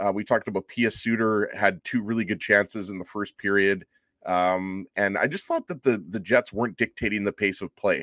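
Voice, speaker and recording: Dry and close with no echo, a man with a plain, everyday voice speaks at a moderate pace, fairly low in pitch, with fairly even intonation. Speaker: hockey pundit. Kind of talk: casual chat. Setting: video call.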